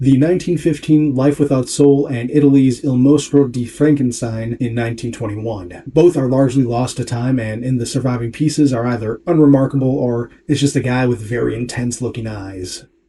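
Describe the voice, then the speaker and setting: A dark, mellow tone comes through with a somewhat breathy quality. The pace is fairly quick, with hardly any pauses. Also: man. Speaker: video essayist and painter. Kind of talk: scripted narration. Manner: self-described sloppy diction.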